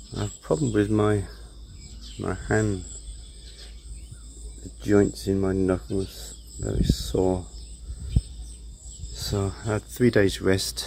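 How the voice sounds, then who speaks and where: Here a man talks at a very slow pace. He has a British accent. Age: 60s. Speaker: retired DIY vlogger. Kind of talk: casual DIY vlog narration.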